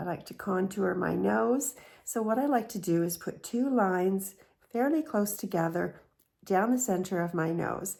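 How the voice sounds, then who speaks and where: A woman with an unremarkable speaking voice talks at a moderate pace and medium pitch. Her intonation is lively, and the recording is very clean with a silent background. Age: 60s. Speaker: beauty vlogger. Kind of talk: tutorial.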